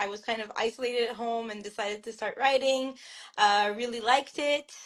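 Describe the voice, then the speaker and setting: Fairly high-pitched woman's voice with a French Canadian accent, fairly even intonation and a moderate pace, over a quiet background. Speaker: author. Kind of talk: interview. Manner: hesitant, many fillers and restarts.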